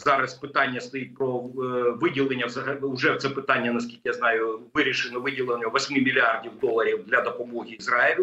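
Pitch moves in an ordinary way as this man talks. His pace is moderate. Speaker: remote guest. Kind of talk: interview answer. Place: home room.

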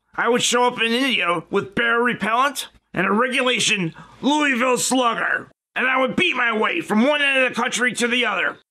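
A man's put-on character voice, extremely high-pitched and raised, projected, at a fairly quick pace, with very even loudness and ordinary pitch variation. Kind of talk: comedic parody show hosting.

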